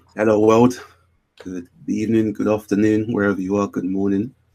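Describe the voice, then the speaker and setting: A man with a British accent is talking. His pace is moderate and his intonation fairly even. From North London (Camden). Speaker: animator and artist. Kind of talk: casual interview.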